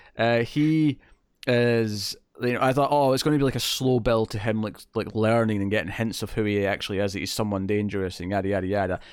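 On a very clean recording with a silent background, a man with a Scottish accent talks at a fairly quick pace and a fairly low pitch, with ordinary pitch variation. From Scotland. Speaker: podcast host. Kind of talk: casual chat reviewing a TV episode.

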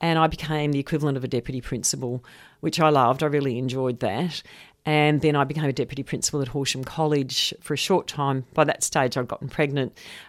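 A woman speaks at a very fast pace in an Australian accent, her pitch very deep and low. Her intonation stays fairly even, and the recording is very clean with a silent background. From Australia, Melbourne. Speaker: professor of educational leadership. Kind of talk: radio interview.

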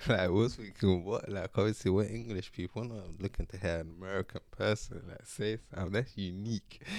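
With a London accent and hardly any pauses, a man talks at a fairly low pitch with big swings in loudness. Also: fairly even intonation, fairly quick pace. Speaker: podcast guest. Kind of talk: casual chat. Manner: joking.

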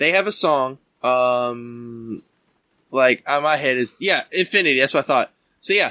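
At a fairly slow pace, a man speaks in a bright, sharp tone with very even loudness. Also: medium pitch for a man, ordinary pitch variation, very clean recording, silent background. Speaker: podcast host interviewing a guest. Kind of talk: casual interview chat.

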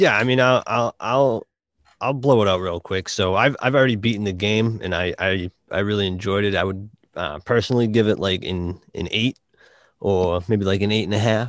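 A man with a Boston accent talks at a moderate pace in a fairly low pitch with ordinary pitch variation.

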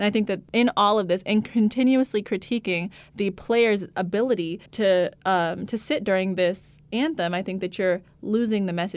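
Recorded very cleanly against a silent background, this is an unremarkable speaking voice with ordinary pitch variation. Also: woman. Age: 20s. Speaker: podcast co-host, law student. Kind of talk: casual chat.

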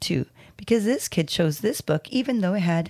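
Here is plain reading aloud. The intonation is lively.

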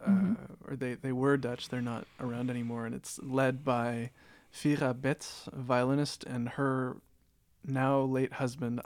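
Using a plain, everyday voice, a man with a Canadian accent speaks at a medium pitch and a moderate pace. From Canada, Toronto. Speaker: jazz musician. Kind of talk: casual chat.

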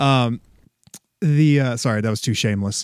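A man speaks at a moderate pace in a plain, everyday voice. The medium pitch shows ordinary variation. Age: 30s. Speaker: toy collector and podcaster. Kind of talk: casual chat.

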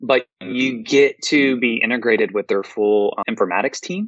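With a normal speaking voice, a man talks at a moderate pace and ordinary pitch variation. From US South, Memphis, Tennessee. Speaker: informatics pharmacist. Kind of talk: interview.

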